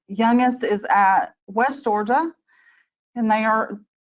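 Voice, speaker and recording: Fairly high in pitch, this woman speaks with a Southern US accent. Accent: Southern US drawl. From US South. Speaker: IT change manager. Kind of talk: webinar presentation. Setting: online webinar.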